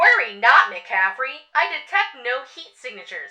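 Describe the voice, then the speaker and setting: A female-sounding, put-on character voice at a moderate pace. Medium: audio drama.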